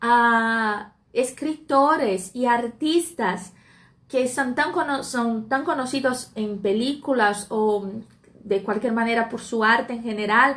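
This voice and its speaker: At a very slow pace, a woman with a Portuguese accent speaks in a fairly high pitch with ordinary pitch variation. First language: Portuguese (speaking Spanish). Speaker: Spanish teacher. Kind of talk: live stream talk. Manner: hesitant with fillers.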